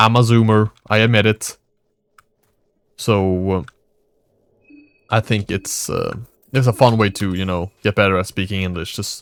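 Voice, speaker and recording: A man with a fairly low voice and a Swedish accent speaks at a moderate pace with fairly even intonation and long, frequent pauses. The sound is dry and close with no echo, in a very clean recording with a silent background. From Sweden. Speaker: gaming YouTuber. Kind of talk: casual gameplay commentary. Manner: halting.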